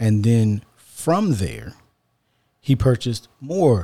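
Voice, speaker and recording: Fairly low in pitch, this man's voice is somewhat breathy with a dark, mellow tone. The recording is very clean, with a silent background. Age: 40s. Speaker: podcast host. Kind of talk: casual chat.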